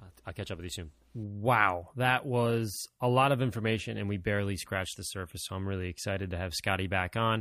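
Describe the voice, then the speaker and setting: Fairly quick speech with hardly any pauses, a bright, sharp tone and ordinary pitch variation, in a very clean recording with a silent background. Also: man, fairly low pitch for a man. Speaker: podcast host. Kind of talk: casual chat. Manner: fast talker, excitable.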